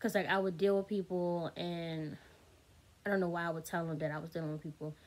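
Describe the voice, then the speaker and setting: A woman talks in an animated tone. The recording is very clean, with a silent background. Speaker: YouTuber. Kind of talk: storytime monologue. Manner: fast.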